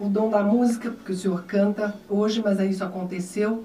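Fairly quick, fairly even speech from a woman, with audible room echo and light background noise. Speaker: radio and TV host. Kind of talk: casual interview. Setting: radio/TV studio. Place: studio.

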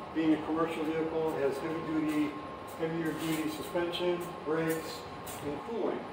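Over clear background noise, a man with a fairly high pitch speaks at a moderate pace with few pauses and little pitch movement.

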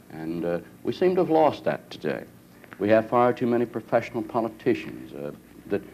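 Over light background noise, a man talks at a fairly quick pace in a plain, everyday voice. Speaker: politician hosting town hall. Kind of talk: interview answer. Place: hall.

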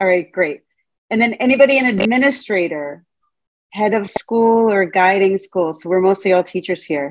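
With lively intonation and a moderate pace, a woman talks over a quiet background. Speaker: Montessori teacher trainer. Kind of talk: lecture. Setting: video call. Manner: animated. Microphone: video call.

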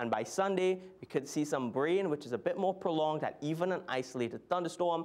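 Very fast speech from a high-pitched man, ordinary pitch variation, very even loudness. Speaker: TV weather presenter. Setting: TV studio. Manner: brisk, upbeat and conversational, steady newsreader pacing; clear explanatory tone with occasional filler hesitations. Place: studio.

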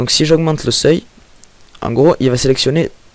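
This man talks with a southern French accent at a moderate pace, his pitch fairly high. His intonation is fairly even, and the sound is dry with no echo. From southern France. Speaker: software tutorial maker. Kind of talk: screen-recorded software tutorial. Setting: home microphone with breath pops. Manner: hesitant, many filler sounds.

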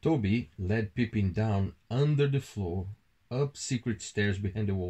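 The reading voice is unforced.

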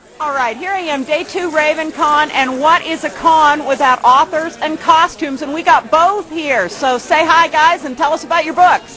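Amid crowd noise, a woman speaks in a raised, projected voice with ordinary pitch variation. Her pace is moderate, with hardly any pauses. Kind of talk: casual vlog chat. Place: hall. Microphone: phone near.

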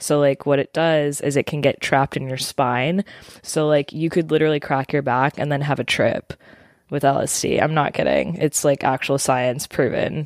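A woman's very deep, low voice in a calm tone, monotone and flat, at a moderate pace, with a dry, close sound and no echo. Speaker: podcast co-host. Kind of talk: casual chat. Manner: calm, radio-style delivery.

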